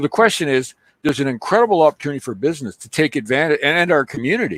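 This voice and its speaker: Talking at a very fast pace with a Canadian accent, a man with a fairly high pitch shows very wide pitch swings and vocal fry in a dry, close sound with no echo. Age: 60s. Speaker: local businessman. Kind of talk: casual chat.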